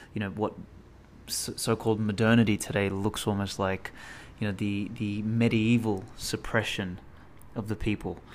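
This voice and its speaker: At a moderate pace, a man talks in an unremarkable speaking voice, fairly low in pitch with fairly even intonation. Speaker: podcast host. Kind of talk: spoken podcast intro.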